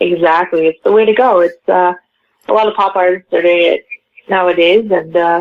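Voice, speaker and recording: With an ordinary speaking voice, a woman talks at a moderate pace and medium pitch, her intonation fairly even. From western Canada, Vancouver. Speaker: pop singer. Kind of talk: interview.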